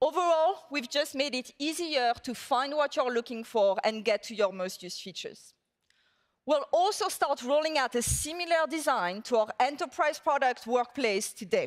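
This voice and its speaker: A high-pitched woman in a French accent, with very wide pitch swings and a moderate pace. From southern France. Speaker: tech executive. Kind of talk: conference keynote.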